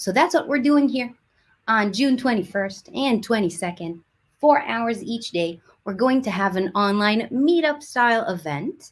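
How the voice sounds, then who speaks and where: The voice is somewhat breathy, with lively intonation and a fairly slow pace. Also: woman, fairly high pitch for a woman. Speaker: community team host. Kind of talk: livestream presentation. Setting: online livestream.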